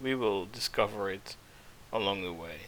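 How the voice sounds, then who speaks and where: A man with a non-native accent, fairly slow delivery and a bright, sharp tone. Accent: non-native English, weak th sounds. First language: not English. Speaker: vtuber game streamer. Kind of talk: gameplay livestream commentary. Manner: halting, many fillers.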